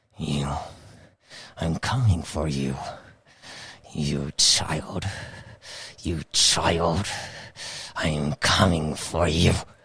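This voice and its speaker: In a growling put-on character voice, a man speaks with a very deep, low pitch. His pace is very slow, broken by long, frequent pauses. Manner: menacing, frightening.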